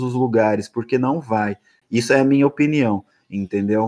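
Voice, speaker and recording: Set against a quiet background, a man uses an ordinary speaking voice at medium pitch with ordinary pitch variation. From Brazil, São Paulo state (São Roque). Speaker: DJ. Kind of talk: casual chat.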